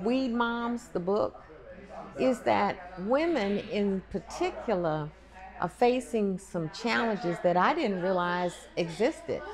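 Very slow speech from a woman with an American accent, over noticeable background noise. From Oklahoma. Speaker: retired state senator. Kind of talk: advocacy speech. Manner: forceful. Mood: earnest, mildly indignant. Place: hall.

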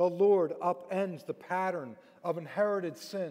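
A man is speaking against a quiet background. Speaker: preacher. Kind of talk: sermon. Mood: earnest, reflective. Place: church. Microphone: headset.

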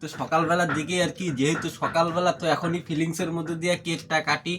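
Over noticeable background noise, a man speaks in a high voice with monotone, flat intonation. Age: 20s. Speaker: vlogger. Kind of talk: casual vlog talk.

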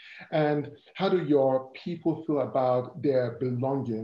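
Somewhat breathy and dark, mellow in tone, a man with an African accent speaks at medium pitch with fairly even intonation, and some room echo is audible. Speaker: corporate diversity and inclusion lead. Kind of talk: interview conversation. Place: home room. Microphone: video call.

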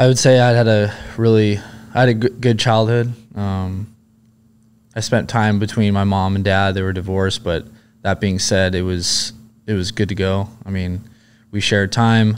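With light background noise behind him, a man with a fairly low pitch speaks at a moderate pace in a monotone, flat intonation, leaving long, frequent pauses. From Southern California, US. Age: 30s. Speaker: former Navy SEAL and police officer. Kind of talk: casual interview chat. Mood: relaxed, reflective. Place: studio. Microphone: studio mic.

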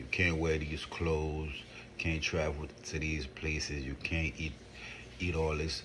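Over light background noise, a man speaks at a fairly slow pace. His very deep, low voice stays monotone and flat. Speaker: wellness vlogger. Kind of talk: casual vlog chat. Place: home room. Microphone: phone near.

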